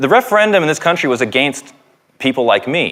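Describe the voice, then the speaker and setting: A man speaks with a Canadian accent and lively intonation. His tone is bright and sharp. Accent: Canadian, noticeable to British listeners. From Canada. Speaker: professor. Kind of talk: public lecture.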